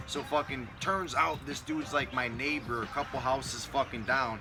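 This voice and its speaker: A man with an American accent, medium pitch, ordinary pitch variation, animated tone and moderate pace, music in the background. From Connecticut. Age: 30s. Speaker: vlogger. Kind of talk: casual chat. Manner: animated storytelling, heavy swearing.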